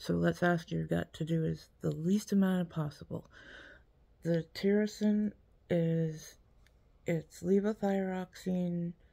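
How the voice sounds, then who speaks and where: A woman speaks very slowly, and the background behind her is quiet. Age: 40s. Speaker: vlogger with chronic illness; health vlogger. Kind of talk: casual vlog monologue. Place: home room. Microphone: phone near.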